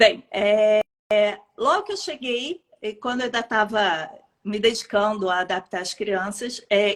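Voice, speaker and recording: A woman speaks at a fairly high pitch with a Rio de Janeiro accent. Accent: carioca. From Rio de Janeiro, Brazil. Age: 50s. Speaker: pediatrician. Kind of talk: interview testimony.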